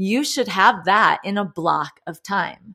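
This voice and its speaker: Bright, sharp tone from a woman with an American accent, lively intonation and a fairly slow pace. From northern US. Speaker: high-performance coach. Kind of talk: interview conversation.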